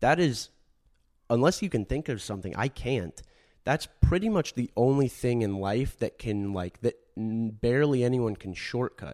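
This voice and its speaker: Over a very clean recording with a silent background, a man with a plain, everyday voice speaks at a moderate pace and medium pitch, with lively intonation. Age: 20s. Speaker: podcast co-host. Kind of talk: casual chat.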